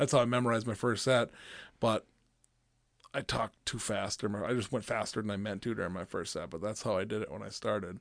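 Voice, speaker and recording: Speaking at a very fast pace, a man with a fairly low pitch and ordinary pitch variation is heard over a quiet background. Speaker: stand-up comedian. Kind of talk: casual chat.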